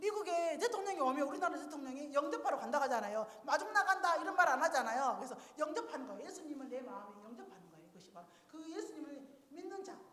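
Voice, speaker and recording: In a room with audible echo, a woman with a high voice speaks at a very fast pace in an animated tone, with very wide pitch swings and big swings in loudness. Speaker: church deaconess teaching evangelism. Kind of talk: seminar talk demonstrating evangelism. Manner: animated, interactive.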